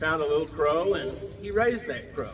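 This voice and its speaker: With an American accent and a high pitch, a man talks against noticeable background noise. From Ponca Nation, Oklahoma. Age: old. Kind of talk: traditional storytelling.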